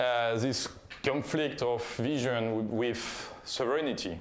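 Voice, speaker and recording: A man's medium-pitched voice in a French accent at a fairly slow pace, with audible room echo. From France. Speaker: conference speaker, software founder. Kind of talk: conference talk. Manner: halting, with fillers.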